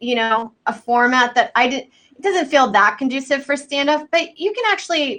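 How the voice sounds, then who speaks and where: Her intonation is lively and her tone bright and sharp. The woman speaks at a moderate pace. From Texas, Houston. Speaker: comedian. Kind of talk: casual chat. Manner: soft-spoken.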